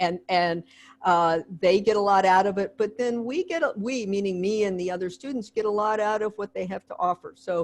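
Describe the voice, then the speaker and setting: A woman with an unremarkable speaking voice, medium pitch and ordinary pitch variation, at a moderate pace against a quiet background. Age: 60s. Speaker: history professor. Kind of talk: video call Q&A discussion.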